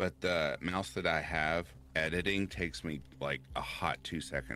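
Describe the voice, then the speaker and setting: A man speaks with a Kentucky accent in a bright, sharp tone, his voice carrying some vocal fry. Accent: Kentucky Southern US. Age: 30s. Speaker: horror story narrator. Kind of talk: casual chat. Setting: live stream.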